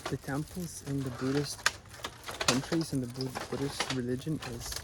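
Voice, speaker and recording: A man's medium-pitched voice, flat and monotone, at a moderate pace over noticeable background noise. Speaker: travel vlogger. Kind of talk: casual vlog narration. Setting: outdoors at a temple. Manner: quiet, soft-spoken.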